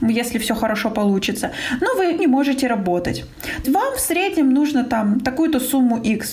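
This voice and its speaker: Amid noticeable background noise and audible room echo, a woman speaks at a moderate pace in a high voice with ordinary pitch variation. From Russia. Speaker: business coach and marketing expert. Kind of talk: interview.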